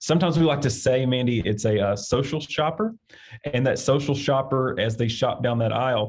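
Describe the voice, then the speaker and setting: Somewhat breathy and with an Arkansas accent, a man talks at a fairly quick pace with ordinary pitch variation. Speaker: agricultural industry director. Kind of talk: interview. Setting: podcast recording. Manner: halting, with fillers.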